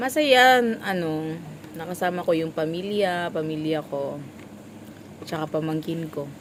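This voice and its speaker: A woman with a fairly low voice speaks at a fairly slow pace with long, frequent pauses against noticeable background noise. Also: ordinary pitch variation. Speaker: vlogger, small store vendor. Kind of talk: casual vlog chat.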